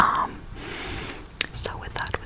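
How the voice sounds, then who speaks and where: Noticeable background noise under a woman's moderately paced whisper. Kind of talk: ASMR whisper ramble storytime. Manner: whispered, soft-spoken.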